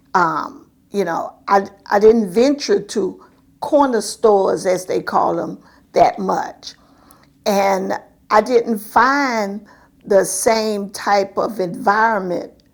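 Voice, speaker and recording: With a South Florida accent, a woman speaks very slowly at a medium pitch with ordinary pitch variation. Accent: Southern US (South Florida). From Miami, Florida. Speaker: community activist. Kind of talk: oral history interview answer.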